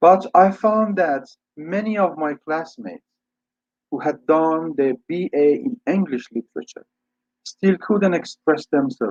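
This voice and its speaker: In a dry, close recording with no echo, a man with an Iranian accent talks fairly slowly in a high pitch with lively intonation. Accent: Iranian (Persian). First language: Persian. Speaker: English teacher and scholar. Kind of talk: lecture. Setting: webinar video call.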